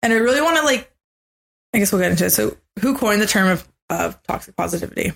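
A woman with vocal fry and a medium-pitched voice talks very fast yet with long, frequent pauses, her intonation lively and her loudness very even. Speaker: podcast co-host. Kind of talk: casual chat.

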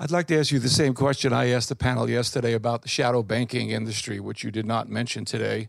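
Speaking at a very fast pace, a man barely pauses at all. His medium-pitched voice has vocal fry and fairly even intonation. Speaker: audience member asking question. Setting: conference Q&A, audience mic.

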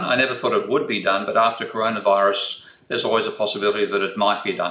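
With an Australian accent, a man rattles off his words at a very fast pace. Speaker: economics professor. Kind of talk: interview.

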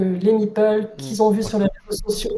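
Her voice sits at a medium pitch, with monotone, flat intonation. The woman keeps a moderate pace. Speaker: board game publisher employee. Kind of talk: interview.

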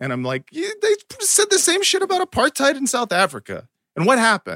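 A man speaks fairly quickly in a raised, projected voice with a bright, sharp tone. His pitch swings very widely, and the sound is dry and close with no echo. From United States. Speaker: comedian. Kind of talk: casual chat.

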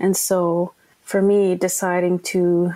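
This woman has a fairly low pitch, a dark, mellow tone and a Canadian Arctic accent. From Nunavut, Canadian Arctic (Iqaluit). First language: Inuktitut. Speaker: documentary filmmaker. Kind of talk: interview. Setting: remote from home.

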